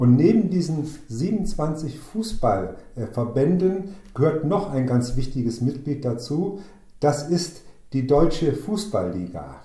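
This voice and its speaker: A man with vocal fry and a dark, mellow tone talks at a very slow pace, fairly high for a man, his pitch swinging very widely. Room echo is audible. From northern Hesse, Germany (Waldeck-Frankenberg district). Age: 60s. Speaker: amateur football club chairman and former mayor. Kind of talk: interview conversation. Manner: hesitant, with frequent fillers.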